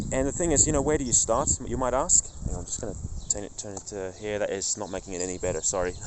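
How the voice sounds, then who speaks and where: Over noticeable background noise, a man talks at a very fast pace with a fairly low pitch and lively intonation. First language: not English. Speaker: faith vlogger. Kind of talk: casual vlog monologue. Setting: outdoors in a park. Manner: halting, with many restarts.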